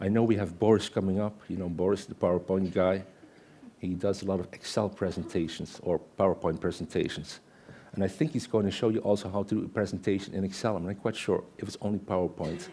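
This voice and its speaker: In a Dutch accent, a man talks very fast at a fairly low pitch, with a dark, mellow tone and fairly even intonation. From Netherlands. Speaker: Excel consultant and conference speaker; conference speaker. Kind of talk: conference presentation with live demo. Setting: stage with audience. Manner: conversational, interactive with audience.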